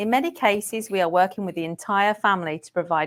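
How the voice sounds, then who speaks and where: On a very clean recording with a silent background, a woman with a slight English accent speaks at a moderate pace and medium pitch. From England. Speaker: care management program manager. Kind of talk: podcast interview.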